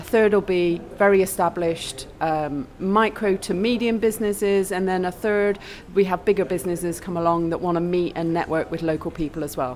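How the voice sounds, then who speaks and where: Speaking fairly quickly with a British accent, a woman uses a fairly low pitch and ordinary pitch variation. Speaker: networking event organiser. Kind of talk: interview. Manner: upbeat, enthusiastic.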